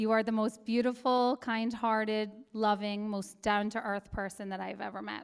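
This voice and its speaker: In a very clean recording with a silent background, a woman with an Irish accent talks in a fairly high, flat monotone. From Ireland. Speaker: matron of honor. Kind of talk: wedding toast. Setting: wedding reception.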